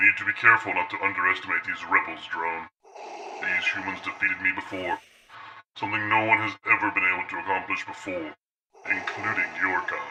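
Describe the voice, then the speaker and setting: A man's put-on character voice at a medium pitch and a fairly quick pace. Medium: machinima. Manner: commanding, terse.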